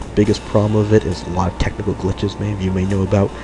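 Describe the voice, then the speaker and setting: Over noticeable background noise, a man speaks at a very fast pace. His pitch is fairly low and his intonation fairly even. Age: 30s. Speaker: let's play gamer. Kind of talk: gameplay commentary. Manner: halting, many fillers.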